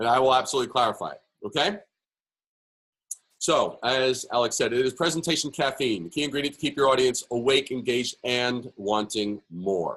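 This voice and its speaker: Speaking with a New York accent, a man moves at a fairly quick pace in a medium pitch with ordinary pitch variation. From US Northeast, New York. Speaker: branding speaker. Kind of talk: presentation workshop. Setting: webinar. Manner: fast.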